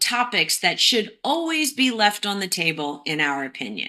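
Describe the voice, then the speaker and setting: A woman's bright, sharp, fairly high voice with very wide pitch swings, at a fairly slow pace, on a very clean recording with a silent background. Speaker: podcast host. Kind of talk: casual conversation.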